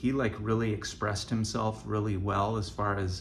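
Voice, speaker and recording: Fairly low-pitched male voice with a bright, sharp tone, fairly even intonation and a moderate pace, plus audible room echo. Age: 60s. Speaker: vlogger with stage 4 colon cancer. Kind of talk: casual vlog monologue. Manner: halting.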